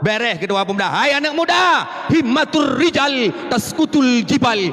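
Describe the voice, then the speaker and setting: Over noticeable background noise, a man speaks at a moderate pace with an extremely high pitch and very even loudness. His tone is animated and his intonation lively. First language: Acehnese (speaking Indonesian). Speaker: Islamic preacher. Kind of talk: sermon.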